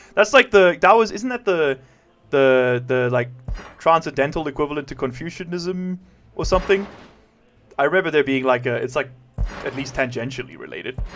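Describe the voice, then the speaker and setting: With music in the background, a man with a fairly high pitch and lively intonation speaks at a moderate pace. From South Africa. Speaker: video game streamer. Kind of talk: live game stream commentary. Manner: casual, chatty.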